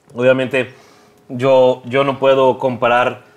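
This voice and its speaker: A man at a medium pitch. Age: 20s. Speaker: bassist and content creator. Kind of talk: casual chat.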